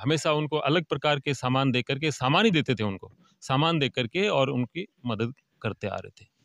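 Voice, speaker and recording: A man's fairly high voice at a fairly slow pace with ordinary pitch variation, dry with no echo against a quiet background. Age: 60s. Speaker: retired lecturer, village charity organiser. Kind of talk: interview. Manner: hesitant, many fillers. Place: open country. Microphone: handheld.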